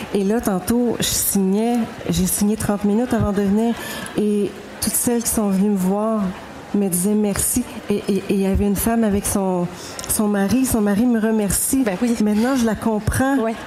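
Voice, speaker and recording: With noticeable background noise behind her, a woman speaks at a moderate pace and medium pitch, keeping very even loudness and fairly even intonation. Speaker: novelist. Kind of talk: panel discussion.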